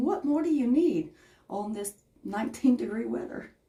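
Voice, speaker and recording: In a Southern US accent, a woman talks at a moderate pace in an animated tone with lively intonation. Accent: Southern twang. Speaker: craft livestreamer. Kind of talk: live crafting tutorial with chat. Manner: chatty, animated.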